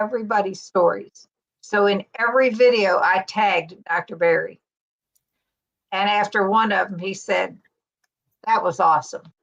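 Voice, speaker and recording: A woman speaks with an American accent at a moderate pace. Her pitch varies in an ordinary way, with long, frequent pauses. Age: 60s. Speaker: keto YouTuber. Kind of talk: casual chat.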